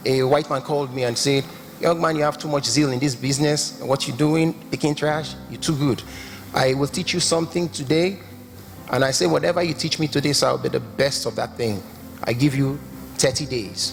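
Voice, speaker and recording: Music plays in the background as a man with a strong Nigerian accent speaks at a fairly quick pace, his pitch fairly high with ordinary variation. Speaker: entrepreneur, summit speaker. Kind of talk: motivational speech.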